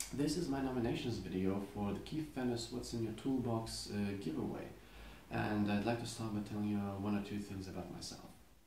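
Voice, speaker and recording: There is audible room echo as a man speaks at a fairly quick pace with a Lithuanian accent. His pitch varies in an ordinary way. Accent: foreign accent, Lithuanian. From Lithuania, Klaipėda. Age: 20s. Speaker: custom knife maker. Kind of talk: casual video monologue. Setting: home workshop.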